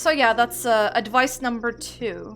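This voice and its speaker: This is a woman's voice. She speaks with a non-native accent. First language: not English. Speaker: gaming YouTuber. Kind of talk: let's play commentary. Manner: casual with frequent fillers.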